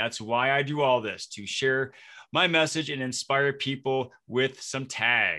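A man with an American accent speaks in a medium pitch and a bright, sharp tone. The background is quiet. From Flint, Michigan. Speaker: podcast host and speaker. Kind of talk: casual interview; scripted outro.

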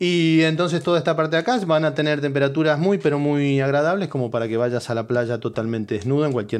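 A man with a Rioplatense accent, animated in tone and lively in intonation. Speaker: podcast host. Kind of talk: casual comedic monologue.

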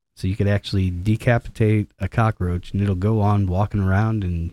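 A man talks at a fairly quick pace in a dark, mellow tone with fairly even intonation. The recording is very clean, with a silent background. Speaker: podcast host. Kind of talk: casual chat. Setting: studio. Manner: joking, casual.

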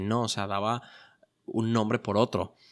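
A man speaks at fairly low pitch with monotone, flat intonation. The recording is very clean, with a silent background and a dry, close sound with no echo. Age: 20s. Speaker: entrepreneur podcast host. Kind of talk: solo podcast monologue.

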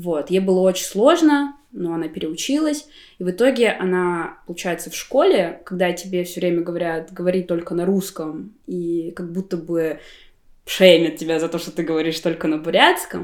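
A woman in a plain, everyday voice speaks at a moderate pace with a fairly low pitch. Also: ordinary pitch variation. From Buryatia, Russia. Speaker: graphic designer. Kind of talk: casual chat. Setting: at a friend's home.

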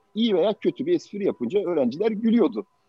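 A man talks with music playing in the background. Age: 50s. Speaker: tech startup founder. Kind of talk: interview talk to students. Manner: halting.

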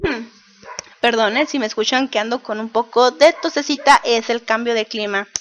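A woman with a high pitch and ordinary pitch variation talks at a moderate pace over noticeable background noise. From Mexico, Baja California (Mexicali). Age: 30s. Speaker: podcast host, cartoonist and cultural manager. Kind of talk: casual monologue podcast.

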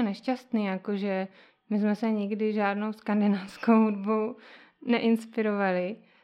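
A woman at a fairly slow pace, with monotone, flat intonation. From Moravia, Valašské Meziříčí (Czech Republic). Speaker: musician and visual artist. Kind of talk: interview.

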